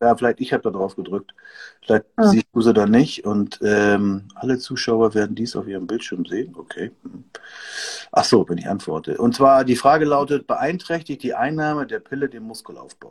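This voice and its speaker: Dry and close with no echo, the recording captures a man's normal speaking voice at medium pitch, with lively intonation, a moderate pace and big swings in loudness. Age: 50s. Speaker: host of an expert talk on hormones. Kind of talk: casual livestream talk.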